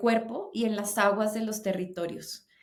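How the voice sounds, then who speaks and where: At a fairly slow pace, a woman speaks in a monotone, flat delivery at a medium pitch. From Colombia. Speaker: singer and voice teacher. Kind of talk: interview conversation.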